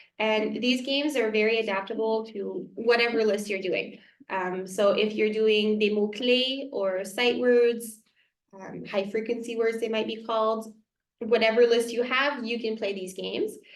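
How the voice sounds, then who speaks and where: A woman with a French accent speaks at a moderate pace in a fairly high voice with fairly even intonation. The room echo is audible. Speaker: elementary school teacher. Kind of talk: community workshop presentation. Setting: small room with a few parents.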